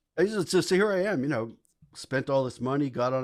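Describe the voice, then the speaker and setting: In a New York accent, a man talks at a fairly quick pace in a very clean recording with a silent background. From New York City (the Bronx). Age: 60s. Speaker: English professor, psychedelics advocate. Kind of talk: podcast interview, storytelling. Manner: animated, halting with many repeats.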